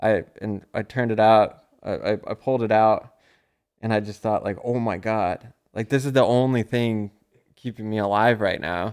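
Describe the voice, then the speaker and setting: An ordinary speaking voice, moderate pace and fairly even intonation on a very clean recording with a silent background. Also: man. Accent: American. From US Midwest, Chicago. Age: 30s. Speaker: comedian and musician. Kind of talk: casual chat. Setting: studio.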